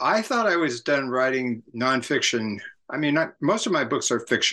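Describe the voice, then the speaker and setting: A man's bright, sharp voice at a moderate pace, with ordinary pitch variation and a quiet background. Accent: Californian. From US West Coast, San Francisco area. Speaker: author and cultural critic. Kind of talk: interview.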